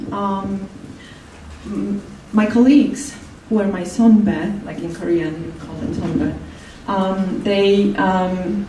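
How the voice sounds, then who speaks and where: A woman with a Polish accent at medium pitch, speaking very slowly, with noticeable background noise and audible room echo. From Poland. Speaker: human rights campaigner. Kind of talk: talk. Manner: halting.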